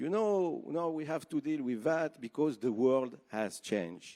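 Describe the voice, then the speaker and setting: In a French accent, the speaker uses lively intonation and a dark, mellow tone on a very clean recording with a silent background. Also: man. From Switzerland. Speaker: TV network executive. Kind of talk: conference speech. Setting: stage with audience.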